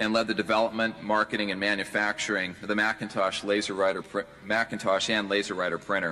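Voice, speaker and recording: A man with a fairly low pitch and a normal speaking voice talks at a fairly quick pace. His intonation is fairly even, with light background noise behind him. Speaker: conference host introducing keynote. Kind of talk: formal introduction speech. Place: hall. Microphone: podium.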